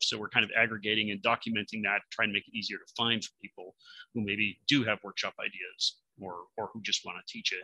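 A man's bright, sharp voice sits at a fairly low pitch with fairly even intonation. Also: dry sound with no echo. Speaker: presenter. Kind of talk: conference presentation. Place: home room. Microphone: webcam.

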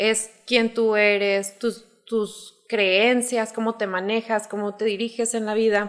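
A woman speaks very slowly in a fairly high voice, with hardly any pauses. Her intonation stays flat and monotone. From Zacatecas, Mexico. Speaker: life coach; life coach guest. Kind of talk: explanatory talk in casual interview. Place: studio. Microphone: studio mic.

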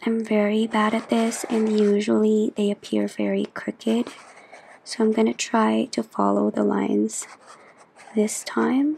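A soft-spoken woman talks at a fairly slow pace with very even loudness. Light background noise can be heard. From Philippines. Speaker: journaling YouTuber. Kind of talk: chatty ASMR craft tutorial.

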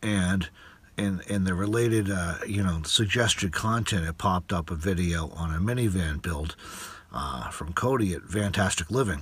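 Somewhat breathy, a man with a very deep, low pitch speaks at a moderate pace with ordinary pitch variation, the sound dry with no echo. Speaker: van dweller vlogger. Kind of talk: casual vlog chat. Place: car. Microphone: phone near.

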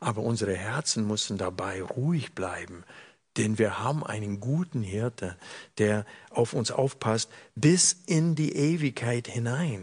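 A man with a medium-pitched, somewhat breathy voice speaks at a fairly slow pace with lively intonation against a quiet background. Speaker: preacher. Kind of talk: sermon.

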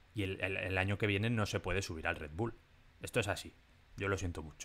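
On a very clean recording with a silent background, a man speaks in a normal speaking voice at a fairly low pitch and a fairly quick pace, with ordinary pitch variation. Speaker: F1 podcast co-host. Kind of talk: casual chat.

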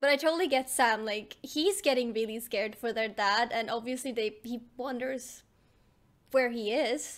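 This woman speaks at a moderate pace with a high pitch and ordinary pitch variation. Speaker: reaction streamer. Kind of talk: casual reaction commentary. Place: home room. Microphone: studio mic.

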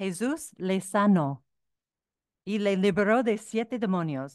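Very slowly, a woman speaks with a non-native accent and lively intonation. The sound is dry with no echo, and the background is quiet. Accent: foreign accent in Spanish. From United States. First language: English (speaking Spanish). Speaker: author and researcher; speaker. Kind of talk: lecture. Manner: halting. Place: hall. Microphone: podium.

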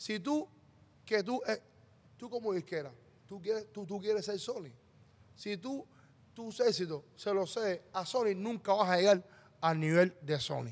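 High male voice with lively intonation, a fairly slow pace and long, frequent pauses. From Cuba. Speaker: music manager; podcast guest. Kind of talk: casual chat. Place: studio. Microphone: studio mic.

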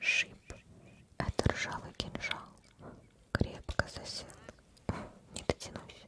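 A woman whispers. She talks at a very slow pace. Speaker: game streamer. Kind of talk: reading game dialogue aloud while playing. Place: home room. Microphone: studio mic.

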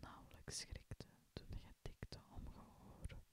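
In a whisper, a man speaks at a very slow pace. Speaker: whisper-style reader. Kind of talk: poetry reading. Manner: whispered, soft-spoken.

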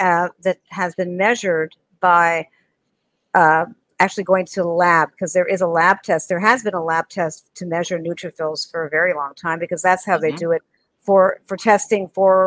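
Against a quiet background, a woman talks at a moderate pace in a dry sound with no echo. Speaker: dentist and lecturer; lecturer. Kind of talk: interview conversation. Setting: video call. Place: home room. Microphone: video call.

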